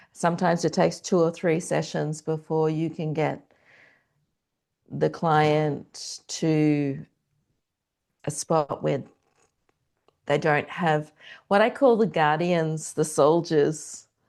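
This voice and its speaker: Very deep, low pitch from a woman with an Australian accent, fairly even intonation, a very slow pace and long, frequent pauses. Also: quiet background. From Australia (Canberra). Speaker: transformational coach. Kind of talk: podcast interview.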